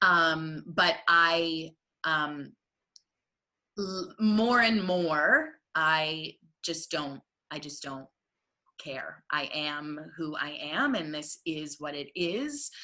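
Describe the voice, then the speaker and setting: A woman's loud, very deep, low voice at a very slow pace, broken by long, frequent pauses. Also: ordinary pitch variation. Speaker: stage manager. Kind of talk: casual chat. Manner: animated.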